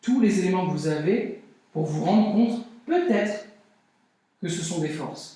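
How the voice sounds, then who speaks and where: Audible room echo surrounds a man with a high pitch who talks at a fairly slow pace with ordinary pitch variation. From Brazil. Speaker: personal development speaker. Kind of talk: conference talk.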